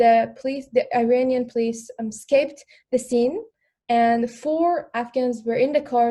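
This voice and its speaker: With a dark, mellow tone, a woman speaks at a high pitch and with fairly even intonation. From Afghanistan, raised as refugee in Iran. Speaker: panelist, former refugee. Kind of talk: panel discussion. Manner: halting, many fillers.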